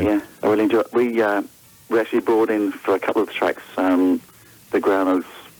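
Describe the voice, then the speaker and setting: Speaking in a British accent, a man keeps a moderate pace. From England. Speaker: blues guitarist, band leader. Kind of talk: phone interview answer.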